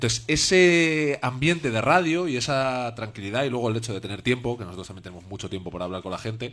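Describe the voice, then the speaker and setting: At a very fast pace, a man speaks with lively intonation and a medium pitch. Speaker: TV presenter. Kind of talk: casual interview. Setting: stage with audience.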